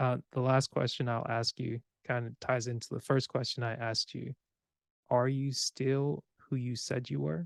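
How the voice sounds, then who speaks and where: A man speaks in an unremarkable speaking voice at a medium pitch and a moderate pace. His pitch varies in an ordinary way, and the sound is dry and close with no echo. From US. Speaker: podcast host. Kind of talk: casual chat.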